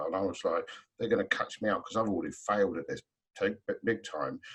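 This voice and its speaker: This is a man's voice. He speaks with a London accent. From South London. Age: 40s. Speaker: trainer and hypnotherapist. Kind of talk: webinar panel discussion.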